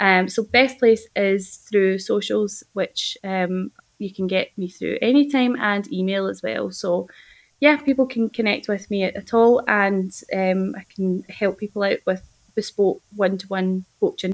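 At a fairly slow pace, a woman with a Scottish accent speaks at medium pitch with ordinary pitch variation in a very clean recording with a silent background. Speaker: health coach. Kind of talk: casual interview.

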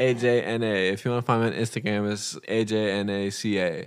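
Here a man speaks with a Californian accent at a moderate pace. The recording is very clean with a silent background. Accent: Californian American. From Los Angeles, California. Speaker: podcast guest, host's boyfriend. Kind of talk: casual chat.

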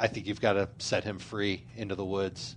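In a normal speaking voice, a man talks at a moderate pace with a fairly low pitch and fairly even intonation. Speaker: fantasy football podcast host. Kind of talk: casual banter with fantasy football analysis. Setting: studio in a room with co-hosts around small table.

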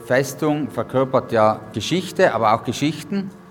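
A man at a moderate pace. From South Tyrol, Italy (Innichen). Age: young. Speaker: historian and museum curator. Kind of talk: guided tour interview. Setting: on location at a mountain fortress. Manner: hesitant with many fillers.

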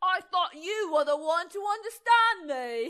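A put-on character voice in a British accent, extremely high in pitch. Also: moderate pace. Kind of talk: put-on, imperfect. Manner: louder, pleading, indignant.

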